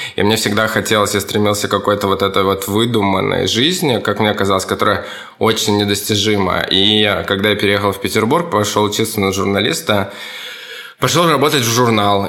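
Someone speaks at a fairly quick pace with very even loudness, with audible room echo and noticeable background noise. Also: man. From Russian Far East (Kamchatka). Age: 30s. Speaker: stylist and fashion teacher. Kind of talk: interview answering kids' questions.

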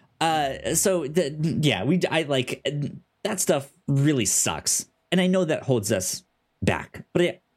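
Speaking at a slow pace, a man with a fairly high voice makes big pitch swings.

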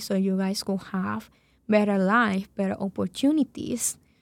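With a Spanish accent, a woman speaks at a medium pitch and a fairly slow pace on a very clean recording with a silent background. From Venezuela. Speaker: program director. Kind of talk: casual interview.

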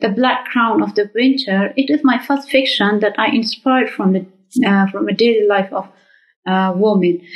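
Here a woman talks at a moderate pace. She speaks in an Afghan accent. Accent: Afghan (Dari-speaking) English. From Afghanistan, Kabul. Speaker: writer. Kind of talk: recorded video message.

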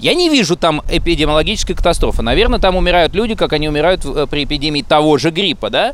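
Over noticeable background noise, a man talks at a very fast pace with hardly any pauses, a high pitch, ordinary pitch variation and very even loudness. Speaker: friend of the hosts. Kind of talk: heated debate. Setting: outdoors.

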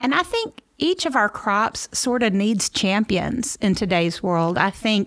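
In a very clean recording with a silent background, a woman speaks at a medium pitch in a Memphis accent. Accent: Southern US (Memphis). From Memphis, Tennessee (US South). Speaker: agricultural communicator and podcaster. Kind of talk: interview conversation.

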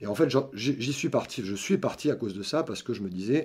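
A man's normal speaking voice at medium pitch, fairly quick, with lively intonation, in a very clean recording with a silent background. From southern France, Montpellier. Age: 50s. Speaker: senior software developer. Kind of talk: interview.

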